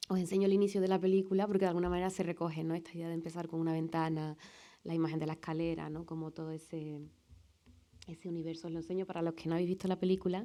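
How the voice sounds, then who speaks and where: In a Sevillian accent, a woman speaks at a very fast pace with a fairly low pitch, a dark, mellow tone and fairly even intonation. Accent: Sevillian Andalusian. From Seville, Andalusia, Spain. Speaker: film director. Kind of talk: talk with film clips at a public screening event.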